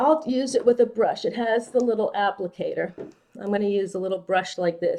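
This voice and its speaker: At a moderate pace, a woman speaks in a fairly high pitch with a dark, mellow tone, ordinary pitch variation and big swings in loudness. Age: 60s. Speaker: makeup artist and esthetician. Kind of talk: makeup tutorial. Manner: casual, conversational.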